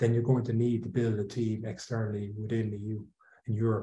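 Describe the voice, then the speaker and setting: An Irish accent marks this man's dark, mellow, somewhat breathy voice. He talks at a fairly quick pace with monotone, flat intonation. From Ireland. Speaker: outsourcing company executive. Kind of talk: interview.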